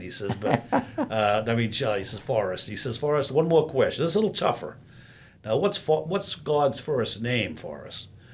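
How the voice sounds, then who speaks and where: A man is the speaker. There is a somewhat breathy quality to his voice. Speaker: veterans services officer, veteran. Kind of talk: telling a joke.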